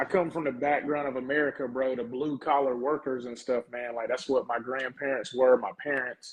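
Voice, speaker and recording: Fairly quick, nearly pause-free male speech in a Southern US accent, medium-pitched and monotone. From US South, small town. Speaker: professional wrestler. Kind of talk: casual interview chat. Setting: live podcast. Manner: casual, relaxed.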